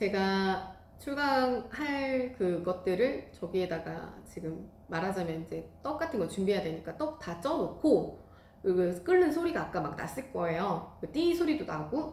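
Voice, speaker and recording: Over noticeable background noise and audible room echo, a woman of medium pitch speaks at a fairly slow pace with very wide pitch swings. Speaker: rice cake class instructor and YouTuber. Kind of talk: casual vlog talk to viewers.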